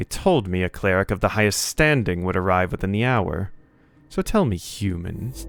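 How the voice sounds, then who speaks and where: A man does a put-on character voice, fairly low in pitch, at a moderate pace. Faint music plays in the background. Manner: disdainful.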